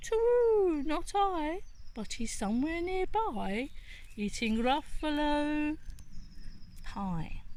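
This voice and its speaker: A woman puts on a character voice, speaking at a very slow pace with long, frequent pauses. Background noise is clearly heard. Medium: read story.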